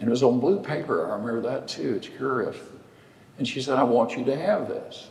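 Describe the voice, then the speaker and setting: Someone talks with a Texan accent at a fairly quick pace. The recording has noticeable background noise and audible room echo. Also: man. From West Texas. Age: 80s+. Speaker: lawyer. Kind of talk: storytelling in a public conversation. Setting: church sanctuary with audience.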